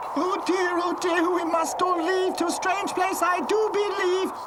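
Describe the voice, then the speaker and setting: An extremely high-pitched cartoonish character voice moves at a moderate pace. Loud background noise sits behind it. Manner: fretful.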